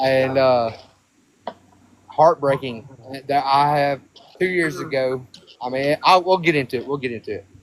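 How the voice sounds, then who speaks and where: Pausing long and often, a man with a Southern US accent speaks at a moderate pace at a fairly high pitch with ordinary pitch variation. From Alabama. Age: 30s. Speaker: hunter. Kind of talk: casual chat.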